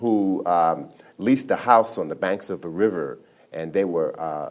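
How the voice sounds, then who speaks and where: A normal speaking voice from a man with an American accent, fairly low in pitch, with ordinary pitch variation and a moderate pace, on a very clean recording with a silent background. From Brooklyn, New York. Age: 60s. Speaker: author. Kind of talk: interview.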